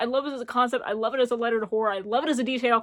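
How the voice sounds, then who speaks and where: The tone is bright and sharp. It comes across as animated. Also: woman, very clean recording, silent background. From US South, Appalachia, rural Tennessee. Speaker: book YouTuber. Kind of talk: casual vlog, reading wrap-up.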